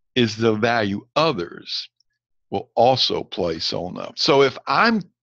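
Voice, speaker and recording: A man talks with lively intonation at a medium pitch. He has an ordinary speaking voice. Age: 60s. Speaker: leadership coach. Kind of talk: lecture.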